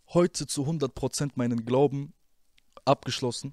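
A man's medium-pitched voice with ordinary pitch variation, dry and echo-free against a quiet background. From Germany, Rüsselsheim (Hesse); Hesse, Germany. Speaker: former rapper; interview guest. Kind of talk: interview testimony; interview answer. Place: studio. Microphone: handheld.

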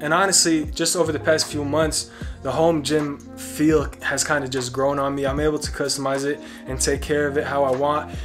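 A man talks at a fairly quick pace with ordinary pitch variation while music plays clearly in the background. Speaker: fitness vlogger. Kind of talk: casual vlog chat. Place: garage.

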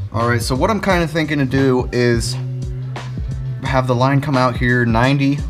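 A man talks at an even, moderate speed. Music can be clearly heard behind him. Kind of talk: casual vlog chat. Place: garage. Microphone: phone near.

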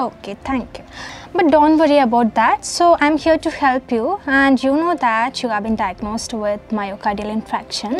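A woman's high voice at a moderate pace, with lively intonation, dry with no echo, over light background noise. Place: home room.

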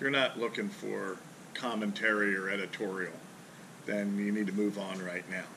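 There's light background noise behind a man whose fairly low voice stays monotone and flat. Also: moderate pace. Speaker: fishing charter captain. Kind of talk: casual talk to camera. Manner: casual, blunt. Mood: relaxed, joking, a bit gruff. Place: garage. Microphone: camera far.

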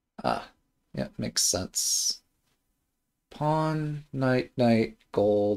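A man talks very slowly at a medium pitch. His intonation is lively, and he pauses long and often. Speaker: shogi streamer. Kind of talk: live game commentary. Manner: casual, hesitant with frequent ums.

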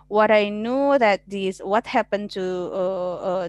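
In an Indonesian accent, a woman speaks at a very slow pace with ordinary pitch variation, the sound dry with no echo and the background quiet. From Indonesia (West Java). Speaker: law lecturer; webinar moderator. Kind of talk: online class moderation. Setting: video call. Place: home room. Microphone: headset.

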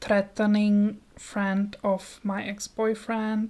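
Soft-spoken and monotone with flat intonation, a woman speaks at a very slow pace. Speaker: ASMR creator. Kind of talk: ASMR news reading, soft-spoken. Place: home room. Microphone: handheld.

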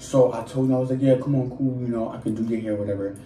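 A man's voice with fairly even intonation, audible room echo and light background noise. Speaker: storyteller. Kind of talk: casual vlog chat. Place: home room. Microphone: phone near.

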